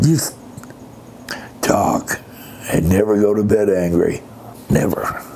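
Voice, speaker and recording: A man with an American accent at a very slow pace, ordinary pitch variation and noticeable background noise. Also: fairly low pitch for a man. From Pennsylvania. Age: 70s. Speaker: retired army veteran. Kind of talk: interview answer.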